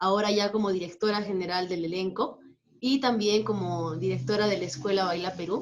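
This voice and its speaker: This woman has an unremarkable speaking voice, pitched in the medium range. She talks at a fairly quick pace with ordinary pitch variation. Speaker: dance teacher and marinera champion. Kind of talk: interview.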